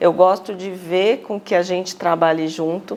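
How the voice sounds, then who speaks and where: A woman at a medium pitch, with a mineiro accent and a fairly slow pace. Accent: Belo Horizonte (mineiro) accent, noticeable. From Minas Gerais, Brazil (Belo Horizonte). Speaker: finance executive. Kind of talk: TV interview.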